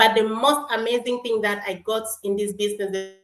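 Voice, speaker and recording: A woman's fairly high-pitched voice, with music in the background. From South Sudan. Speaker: online business owner. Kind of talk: casual interview chat.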